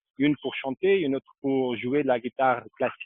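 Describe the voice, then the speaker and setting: A man's medium-pitched voice in a Portuguese accent, fairly quick and fairly even in intonation. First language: Portuguese (speaking French). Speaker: local tour guide. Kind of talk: live video tour on location. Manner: halting.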